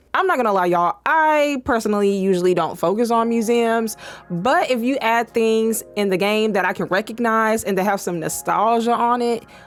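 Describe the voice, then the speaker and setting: With music in the background, a woman speaks at a moderate pace with very even loudness, hardly any pauses and ordinary pitch variation. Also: fairly high pitch for a woman. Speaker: gaming YouTuber. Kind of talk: casual video commentary. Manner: animated.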